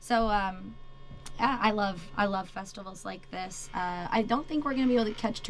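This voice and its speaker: Recorded with audible room echo, a woman with an American accent talks at a moderate pace in a medium pitch with ordinary pitch variation. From Wisconsin, US Midwest. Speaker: country singer. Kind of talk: radio interview. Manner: loud when singing.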